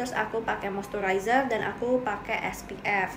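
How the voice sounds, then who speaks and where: A woman speaks with fairly even intonation. Noticeable background noise runs under her voice. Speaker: beauty vlogger. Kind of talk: casual vlog chat. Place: home room. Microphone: phone near.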